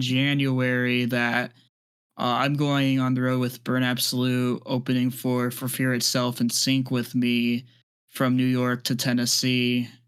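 On a very clean recording with a silent background, a man speaks at a fairly slow pace and medium pitch in a plain, everyday voice. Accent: American. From US Midwest. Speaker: podcast host, concert photographer. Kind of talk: casual chat.

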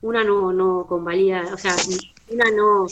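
In a Rioplatense accent, the speaker talks at a fairly slow pace with fairly even intonation. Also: woman. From Argentina, Buenos Aires province. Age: 40s. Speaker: visually impaired artistic roller skater. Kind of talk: interview.

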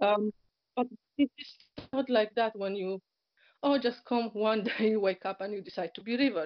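A woman with a fairly high voice and long, frequent pauses. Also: ordinary pitch variation, moderate pace. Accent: Polish. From Poland. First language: Polish. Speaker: journalist and convert. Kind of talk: emotional interview.

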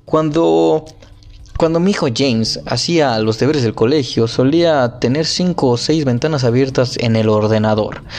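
A man's lively intonation comes through at a fairly slow pace, with noticeable background noise behind him. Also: medium pitch for a man. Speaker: podcaster reading a book aloud. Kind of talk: reading aloud; casual commentary. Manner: halting; emphatic put-on accent on key words.

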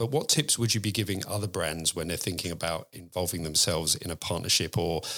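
A man's very deep, low voice with a bright, sharp tone and an English accent, at a very fast pace with ordinary pitch variation, on a very clean recording with a silent background. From England. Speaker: podcast host. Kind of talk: interview.

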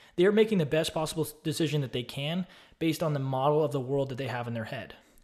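A man speaks very fast with an American accent and ordinary pitch variation. The recording is very clean with a silent background. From Austin, Texas. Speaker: online course creator and real estate investor. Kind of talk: casual solo video talk about a book. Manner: casual, with fillers and repeats.

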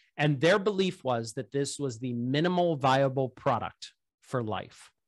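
A plain, everyday voice with an American accent is heard against a quiet background. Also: man. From Pittsburgh, US. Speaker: biotech startup founder. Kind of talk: casual interview.

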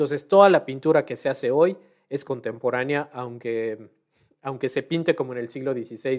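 A man with a medium pitch and ordinary pitch variation talks at a moderate pace in a plain, everyday voice. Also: very clean recording, silent background. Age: 40s. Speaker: painter. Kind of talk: panel debate.

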